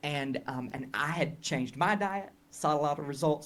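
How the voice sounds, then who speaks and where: In a Southern US accent, a man speaks at a fairly high pitch with ordinary pitch variation. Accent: Southern US, noticeable. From Tennessee, US South. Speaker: health educator and marketing coach. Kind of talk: interview conversation. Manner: hesitant, many fillers and restarts.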